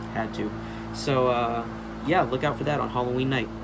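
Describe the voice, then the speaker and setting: A man is speaking with audible room echo around him. Noticeable background noise runs under his voice. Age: 30s. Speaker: horror movie collector youtuber. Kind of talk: casual vlog. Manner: casual, many fillers (um, uh).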